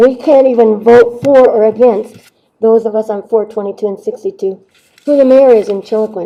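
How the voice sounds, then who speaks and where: Speaking at a moderate pace, a woman keeps a fairly high pitch and fairly even intonation. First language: Navajo. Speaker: rancher giving public testimony. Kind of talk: public hearing testimony. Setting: county board hearing room.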